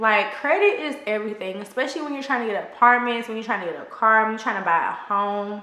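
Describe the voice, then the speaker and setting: A woman with an American accent talks over noticeable background noise, with audible echo from the room. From Texas, Houston. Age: 30s. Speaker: lifestyle vlogger. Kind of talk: casual advice chat.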